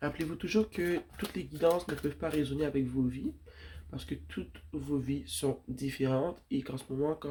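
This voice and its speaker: Very deep and low in pitch, a woman's voice carries vocal fry and a dark, mellow tone at a fairly quick pace. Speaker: tarot reader. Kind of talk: tarot reading.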